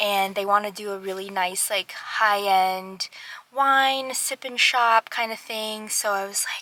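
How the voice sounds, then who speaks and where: A woman with an American accent at a medium pitch, fairly even intonation and a fairly slow pace. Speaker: small business owner vlogger. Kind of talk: casual vlog talk.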